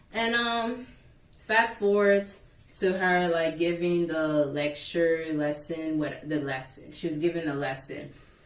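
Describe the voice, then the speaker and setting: A woman with a fairly low pitch speaks at a fairly slow pace in an animated tone with ordinary pitch variation. Audible room echo surrounds her voice. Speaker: YouTuber. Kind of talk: storytime vlog. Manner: loud.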